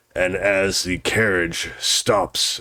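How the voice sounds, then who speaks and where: A raspy man speaks at a very slow pace. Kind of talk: gothic horror narration. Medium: actual play. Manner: solemn, portentous.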